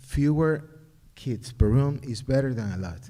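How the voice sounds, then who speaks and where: A man speaks with an Ecuadorian accent at a fairly slow pace. His pitch variation is ordinary, and the room echo is audible. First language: Spanish. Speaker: parent. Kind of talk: public comment at community forum. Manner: halting.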